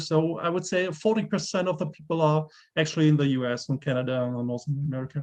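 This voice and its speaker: With a German accent, a man speaks at a fairly high pitch. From Germany. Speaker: gamebook author. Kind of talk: interview. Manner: halting.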